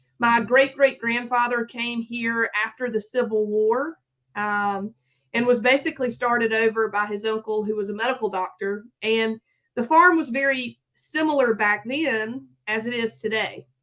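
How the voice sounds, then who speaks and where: A bright, sharp tone at a moderate pace, with ordinary pitch variation. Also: woman, fairly high pitch for a woman. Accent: strong Southern US. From US South, south Georgia. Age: 30s. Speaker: farmer. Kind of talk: conference talk.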